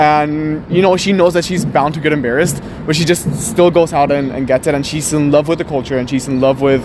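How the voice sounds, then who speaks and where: A man speaks at a fairly quick pace with hardly any pauses, his pitch fairly high and his intonation fairly even. Noticeable background noise runs under his voice. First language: Spanish. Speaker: interviewee. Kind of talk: street interview. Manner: hesitant, many fillers.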